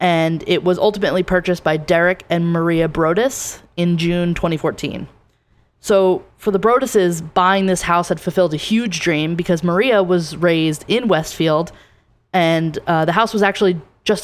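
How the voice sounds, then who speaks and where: Against a silent background in a very clean recording, a woman with an American accent speaks at a moderate pace in a fairly low pitch, with ordinary pitch variation, very even loudness and a normal speaking voice. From New Jersey. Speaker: podcast co-host. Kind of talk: casual chat.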